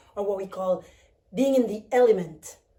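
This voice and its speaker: A woman with a fairly high pitch and a dark, mellow tone speaks at a moderate pace. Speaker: vlogger. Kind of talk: vlog monologue. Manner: animated.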